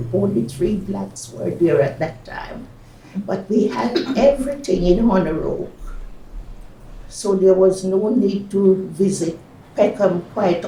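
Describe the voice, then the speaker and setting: Over noticeable background noise, a woman at a medium pitch speaks very slowly with lively intonation. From Jamaica. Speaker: retired nurse, midwife and psychotherapist. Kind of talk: oral history interview answer.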